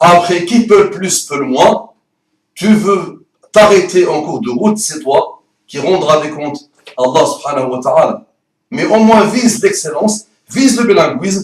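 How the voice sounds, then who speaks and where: With a strong non-native accent, a man speaks at a fairly slow pace in a high pitch, his animated tone marked by very wide pitch swings, big swings in loudness and long, frequent pauses. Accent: strong foreign accent, rolled R. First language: Arabic (speaking French). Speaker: Arabic teacher. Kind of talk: promotional talk to camera. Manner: fluent, no stutter.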